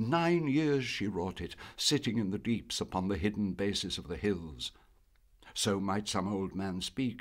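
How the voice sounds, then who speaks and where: On a very clean recording with a silent background, a man with an ordinary speaking voice talks at a moderate pace and a fairly low pitch. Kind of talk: poetry reading.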